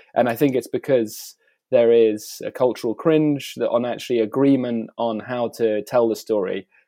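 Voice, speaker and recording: A man speaks in an English accent at medium pitch. His intonation stays fairly even. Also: moderate pace. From England. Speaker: artist. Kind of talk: interview. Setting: video call. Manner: hesitant, many fillers.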